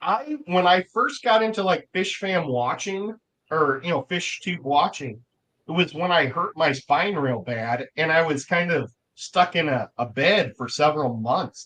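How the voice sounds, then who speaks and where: A man with an American accent speaks at a fairly slow pace. His high, bright, sharp voice has lively intonation. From Missouri, US Midwest. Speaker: livestream guest, aquarium hobbyist. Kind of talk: casual chat.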